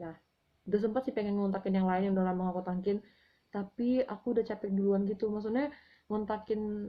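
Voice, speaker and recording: Delivered at a very fast pace, the speech holds a fairly even intonation. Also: woman. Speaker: book author and vlogger. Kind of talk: casual vlog monologue. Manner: hesitant, with fillers.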